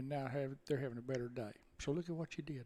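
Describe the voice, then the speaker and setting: A man with a fairly high voice speaks at a very fast pace. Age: 70s. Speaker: insurance salesman. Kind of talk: interview answer.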